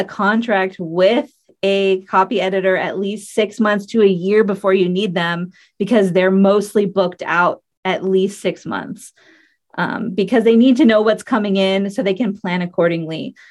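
A woman talks at a moderate pace in a normal speaking voice with fairly even intonation. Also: medium pitch for a woman. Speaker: copy editor and writer. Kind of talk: casual interview chat.

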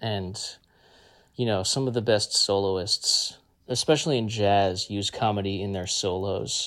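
A man talks at a fairly slow pace in a plain, everyday voice, fairly low in pitch with fairly even intonation. The recording is very clean, with a silent background. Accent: American. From New Jersey, US. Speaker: folk musician. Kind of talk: interview.

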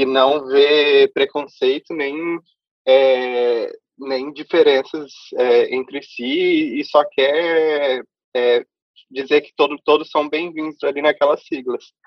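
A man with a Brazilian accent and fairly high pitch, very slow and monotone, with long, frequent pauses and big swings in loudness. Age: 20s. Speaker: immigrant interviewee. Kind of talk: casual interview.

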